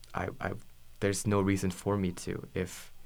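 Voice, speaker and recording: A man speaks at a very deep, low pitch, with vocal fry. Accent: American. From Oregon, US. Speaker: university student. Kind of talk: casual interview. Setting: small room.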